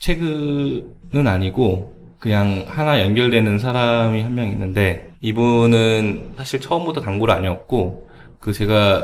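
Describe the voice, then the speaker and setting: The man speaks with lively intonation. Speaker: cafe owner. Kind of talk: podcast interview answer.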